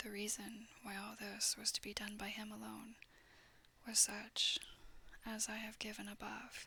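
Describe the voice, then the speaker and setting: This voice is soft-spoken and fairly slow. Long, frequent pauses break it up. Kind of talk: soft-spoken ASMR audiobook reading of a classic novel. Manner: soft-spoken, quiet.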